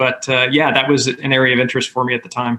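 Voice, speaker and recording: Speaking at a fairly quick pace, a man uses a medium pitch with an American accent. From New York State (Hudson Valley). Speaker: health insurance executive. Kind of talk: interview. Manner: hesitant, many fillers.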